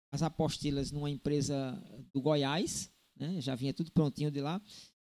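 The voice has a dark, mellow tone at a fairly slow pace, on a very clean recording with a silent background. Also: man. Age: 50s. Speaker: podcast host. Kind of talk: casual chat.

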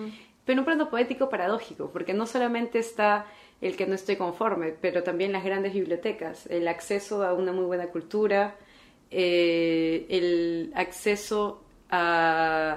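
Pacing herself fairly slowly, a woman talks in a Peruvian accent. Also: medium pitch for a woman, ordinary pitch variation. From Peru, Callao. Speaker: philosophy researcher. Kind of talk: interview.

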